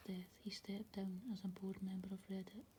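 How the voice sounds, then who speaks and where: The voice is soft-spoken, at a moderate pace. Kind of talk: soft-spoken ASMR magazine article reading.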